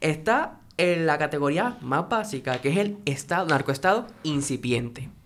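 Hardly any pauses break up the speech. It moves at a fairly slow pace. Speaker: podcast co-host. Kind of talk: interview.

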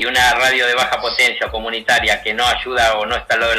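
A man talks at a very fast pace in a Rioplatense accent. Noticeable background noise runs underneath. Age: 60s. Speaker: university dean and political figure. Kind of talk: radio interview. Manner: emphatic.

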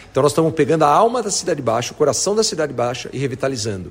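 A man with a fairly high voice speaks with lively intonation over noticeable background noise. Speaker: real estate executive. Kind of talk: interview. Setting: on site at a construction project. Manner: enthusiastic.

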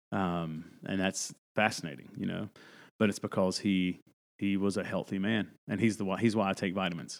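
With an American accent and an ordinary speaking voice, the speaker keeps a moderate pace and fairly even intonation on a very clean recording with a silent background. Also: man, fairly low pitch for a man. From North Carolina mountains, US South. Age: 40s. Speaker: pastor. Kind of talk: casual chat.

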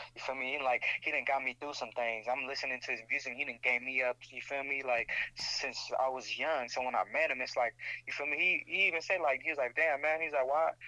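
With an American accent, a man speaks at a fairly quick pace, with a fairly high pitch and fairly even intonation. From Bay Area, California (Pittsburgh). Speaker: photographer and videographer. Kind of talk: casual chat.

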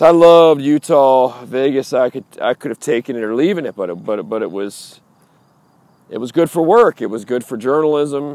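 In a dry, close sound with no echo, a man with an unremarkable speaking voice talks at a moderate pace with lively intonation. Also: medium pitch for a man. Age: 40s. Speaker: podcast host. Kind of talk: walking monologue. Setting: outdoors, walking streets at night. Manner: casual, repetitive.

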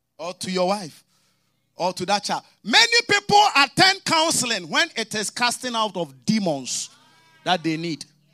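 A man talks in a raised, projected voice with a bright, sharp tone and high pitch, at a moderate pace. His delivery is animated, with very wide pitch swings, and the sound is dry and close with no echo. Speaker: preacher. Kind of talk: sermon with prayer and congregation call-and-response. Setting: church service with live congregation and online audience. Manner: animated, exhorting, rising preaching cadence with commands to the congregation; storytelling with mimicked dialogue and humor.

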